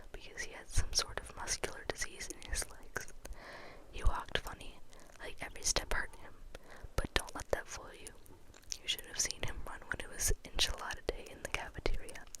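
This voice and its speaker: A whispering voice keeps a moderate pace as noticeable background noise runs underneath. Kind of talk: audiobook-style reading of a novel aloud. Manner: whispered, soft, up close.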